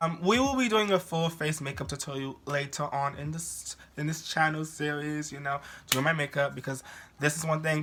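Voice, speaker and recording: Loud and animated, a man with an American accent speaks at a fairly quick pace in a bright, sharp tone with fairly high pitch and ordinary pitch variation. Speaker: beauty youtuber, drag performer. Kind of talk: makeup tutorial. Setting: at home.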